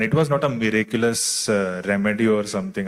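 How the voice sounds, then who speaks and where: A man with an Indian accent speaks at a medium pitch with ordinary pitch variation. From Delhi, India. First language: Tulu. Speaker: author and screenwriter. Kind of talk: interview at literary festival.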